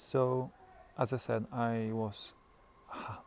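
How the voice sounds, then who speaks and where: A man with a Polish accent. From Poland. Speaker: stroke survivor. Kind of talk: personal video diary. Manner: halting; hesitant with self-corrections.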